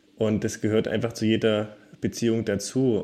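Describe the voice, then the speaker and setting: At a moderate pace, a man talks on a very clean recording against a silent background. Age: 20s. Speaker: secondary school teacher. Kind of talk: interview, personal testimony.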